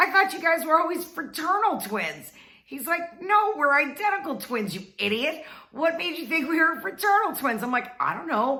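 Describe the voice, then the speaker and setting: A woman with an extremely high pitch and an upbeat tone raises and projects her voice, her pitch swinging very widely over noticeable background noise. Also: moderate pace, big swings in loudness. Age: 50s. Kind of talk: casual storytelling to camera. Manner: chatty, upbeat.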